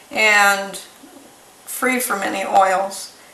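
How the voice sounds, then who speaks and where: Pitch varies in an ordinary way. Audible room echo surrounds the voice. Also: woman. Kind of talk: tutorial. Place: kitchen. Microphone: camera far.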